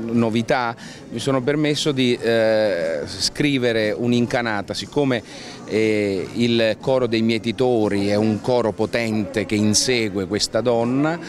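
A man talks at a fairly slow pace with fairly even intonation and very even loudness. The sound is dry with no echo, though background noise is noticeable. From Sicily. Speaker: stage actor and director. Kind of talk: interview answer. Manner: hesitant, many fillers. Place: street. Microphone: handheld.

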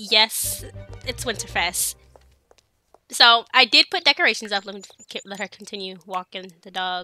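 Music plays in the background as a woman of medium pitch speaks at a moderate pace with long, frequent pauses and ordinary pitch variation, the sound dry and close with no echo. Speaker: gaming let's play creator. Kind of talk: casual gameplay commentary.

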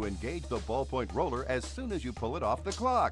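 A man talks at an even, moderate speed while music plays behind him. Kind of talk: infomercial voice-over. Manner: upbeat, enthusiastic.

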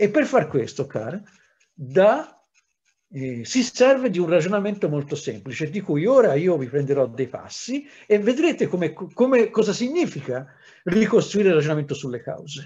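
A man with a high voice for his sex and a dark, mellow tone makes very wide pitch swings. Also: moderate pace. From Italy, Livorno; Italy. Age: 60s. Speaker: historian; historian lecturing teachers. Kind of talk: lecture. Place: home room. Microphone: webcam.

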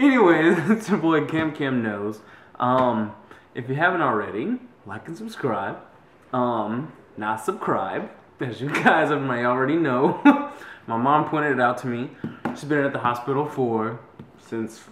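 Amid light background noise and audible room echo, a man speaks at a fairly slow pace with long, frequent pauses. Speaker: vlogger. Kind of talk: casual vlog chat. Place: kitchen. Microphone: phone near.

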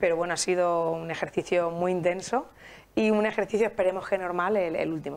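A woman talks at a fairly quick pace with ordinary pitch variation in an ordinary speaking voice. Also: fairly low pitch for a woman. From Spain, Alicante; Spain. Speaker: festival federation president; guest. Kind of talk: interview. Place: studio. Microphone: lapel.

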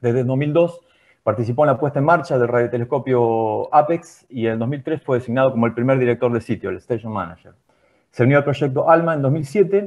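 Talking at a very fast pace, a man keeps a medium pitch with ordinary pitch variation. The background is quiet. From Argentina. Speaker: seminar moderator; seminar host. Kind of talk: formal introduction. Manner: halting. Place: home room. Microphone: earbuds.

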